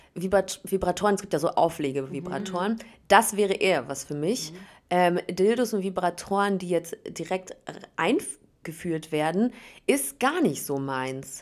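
A woman's medium-pitched, normal speaking voice at a fairly slow pace, with lively intonation. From Berlin, Germany. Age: 30s. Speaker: reality TV contestant and radio host. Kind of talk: casual interview chat. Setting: hotel room.

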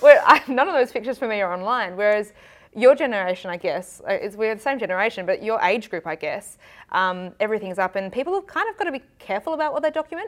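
With an Australian accent, a woman talks very fast in a fairly high voice that swings very widely in pitch. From South Australia, Adelaide. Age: 20s. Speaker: TV journalist. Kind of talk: casual interview.

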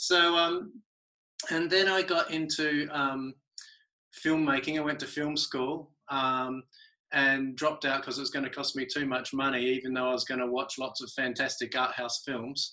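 A man with an Australian accent speaks in a fairly high voice with a bright, sharp tone. His intonation is fairly even. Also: moderate pace. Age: 40s. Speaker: artist. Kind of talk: casual chat.

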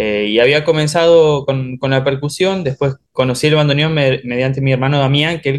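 A man with a plain, everyday voice and a fairly high pitch talks here. He keeps a moderate pace with hardly any pauses. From Oberá, Misiones, Argentina. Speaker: bandoneon player, musician. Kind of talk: casual interview chat.

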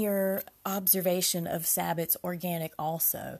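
A woman with a somewhat breathy voice speaks at a medium pitch in a very clean recording with a silent background. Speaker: podcast host, rune practitioner. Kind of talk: solo podcast monologue.

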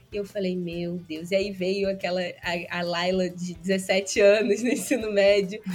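A woman with a strong Carioca accent speaks at a fairly slow pace, her pitch medium. Her intonation is fairly even, with hardly any pauses. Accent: strong Carioca (Rio). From interior of Rio de Janeiro state, Brazil. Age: 20s. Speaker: podcast guest. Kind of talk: casual interview chat.

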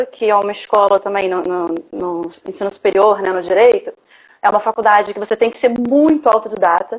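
With ordinary pitch variation, this woman's voice rests at a medium pitch. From Rio de Janeiro, Brazil. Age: 30s. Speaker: visual artist. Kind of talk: interview, casual. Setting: live online broadcast.

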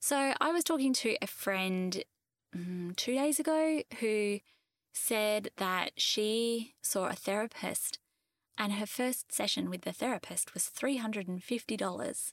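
In a normal speaking voice, a woman speaks fairly slowly at a fairly high pitch with lively intonation, on a very clean, silent-background recording with a dry, close sound and no echo. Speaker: fertility life coach, podcast host. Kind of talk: solo podcast monologue, informal explanation. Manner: warm, conversational.

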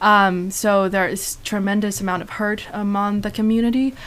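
A woman with a Chinese accent talks at a moderate pace and a medium pitch. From China. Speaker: student photographer and actor. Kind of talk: casual interview. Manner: halting.

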